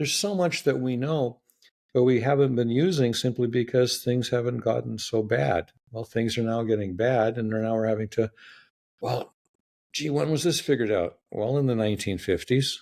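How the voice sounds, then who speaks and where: A man's medium-pitched voice at a moderate pace. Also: ordinary pitch variation. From Canada. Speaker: building science expert. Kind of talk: interview conversation. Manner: animated.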